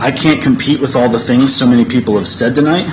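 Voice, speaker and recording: With an American accent, the speaker talks at a very fast pace with fairly even intonation, amid audible room echo and noticeable background noise. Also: man. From Kansas. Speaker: farmer. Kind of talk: public comment. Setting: public meeting.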